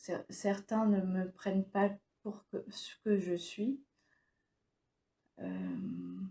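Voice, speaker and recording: A woman talking very slowly, with long, frequent pauses. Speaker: stroke survivor and vlogger. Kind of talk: personal vlog monologue. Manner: halting, many hesitations; speech wavers.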